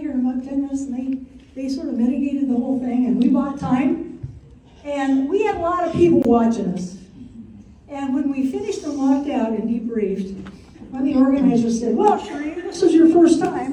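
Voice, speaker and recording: Talking at a very fast pace, a woman uses a high pitch with ordinary pitch variation amid noticeable background noise and audible room echo. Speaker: retired teacher and community organizing member. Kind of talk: personal testimony.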